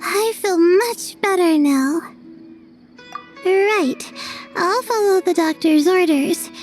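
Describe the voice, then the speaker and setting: Over faint background music, a woman puts on a cartoonish character voice at an extremely high pitch and a fairly slow pace. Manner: soft, hesitant.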